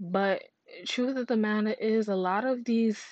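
A woman speaks at a fairly slow pace with an animated tone. Her pitch sits in the medium range. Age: 30s. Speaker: podcast host. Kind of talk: casual monologue.

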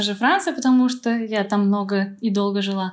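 This woman talks at a moderate pace with fairly even intonation. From Moscow, Russia. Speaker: repatriate, winery worker. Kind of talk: interview. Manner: hesitant, filler-heavy.

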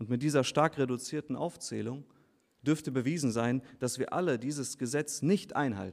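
A man speaks at a moderate pace in a normal speaking voice. His pitch is medium, with ordinary pitch variation. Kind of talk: baptism sermon. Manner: earnest, persuasive preacher's tone, direct appeals to the listeners.

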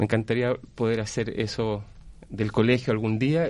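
An unremarkable speaking voice at a moderate pace against a quiet background. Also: man. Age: 40s. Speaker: school culture coordinator. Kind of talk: radio interview. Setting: radio studio.

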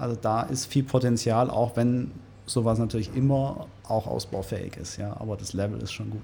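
Speaking at a moderate pace, a man has a plain, everyday voice, a medium pitch and fairly even intonation. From Ulm, Swabia, Germany. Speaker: winery manager. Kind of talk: casual interview.

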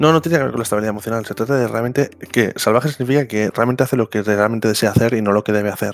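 A man talks at a very fast pace with hardly any pauses. His medium-pitched voice shows ordinary pitch variation. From Catalonia, Spain (Barcelona). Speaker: podcast host. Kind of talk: casual chat. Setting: online voice call.

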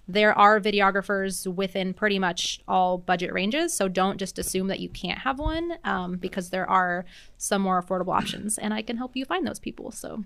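With an American accent, a woman speaks at a fairly quick pace and medium pitch, with ordinary pitch variation and a bright, sharp tone on a very clean recording with a silent background. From US Pacific Northwest, Seattle area. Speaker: wedding planner. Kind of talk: casual interview. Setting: studio.

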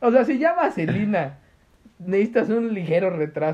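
A man with a Mexican accent speaks with very wide pitch swings. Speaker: podcast co-host. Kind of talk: casual chat.

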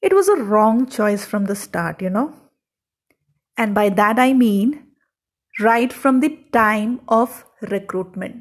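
A somewhat breathy woman's voice, fairly high in pitch, at a very slow pace with long, frequent pauses and ordinary pitch variation. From South India. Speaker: podcaster. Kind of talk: personal storytelling monologue.

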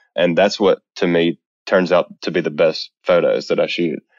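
This is a man talking. He has a Southern US accent. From US South, Mississippi. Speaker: photographer. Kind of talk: interview.

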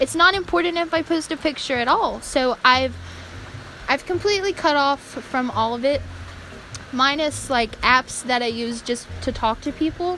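Over noticeable background noise, a woman with an American accent speaks in a raised, projected voice at a high pitch, with lively intonation and a moderate pace. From North Carolina. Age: 20s. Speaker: podcast host. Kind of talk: casual monologue. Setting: cellar of an abandoned prairie home.

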